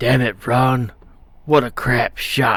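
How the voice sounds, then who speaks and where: A gruff, put-on character voice from a man at medium pitch. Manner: angry, exasperated.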